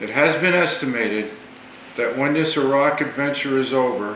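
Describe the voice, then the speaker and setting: A man with an American accent and a fairly high pitch speaks at a fairly slow pace, with audible room echo and noticeable background noise. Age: 60s. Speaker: navy veteran. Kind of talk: political monologue. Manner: formal.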